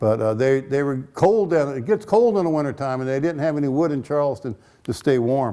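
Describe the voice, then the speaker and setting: Speaking at a fairly quick pace with an American accent, a man uses lively intonation in a dark, mellow tone with fairly high pitch. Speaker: local history lecturer. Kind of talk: lecture. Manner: fast.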